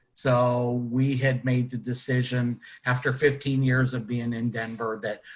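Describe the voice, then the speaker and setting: A man with an American accent speaks at a fairly slow pace and a medium pitch. His somewhat breathy voice keeps a monotone, flat intonation. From western Pennsylvania, Butler near Pittsburgh. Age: 60s. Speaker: retired color guard instructor and judge. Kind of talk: casual interview. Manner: halting, many fillers.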